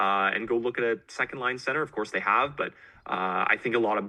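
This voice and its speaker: A man talks at a fairly quick pace in a medium pitch. It is a normal speaking voice. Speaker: guest podcast host. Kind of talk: conversational interview answer.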